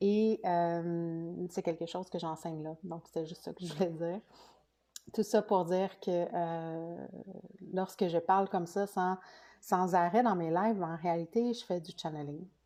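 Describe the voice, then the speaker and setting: A woman with a Quebec accent speaks at a fairly slow pace in a dark, mellow tone. Her pitch is fairly low and her intonation fairly even, while her loudness swings widely. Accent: Québécois French. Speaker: spiritual coach. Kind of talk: live stream talk. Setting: live video. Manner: hesitant, many fillers.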